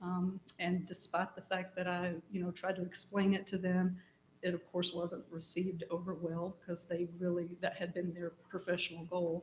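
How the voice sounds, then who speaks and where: A woman with an American accent speaks at a fairly quick pace and a medium pitch. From East Tennessee. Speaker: city manager, job candidate. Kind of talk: job interview. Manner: hesitant with frequent ums.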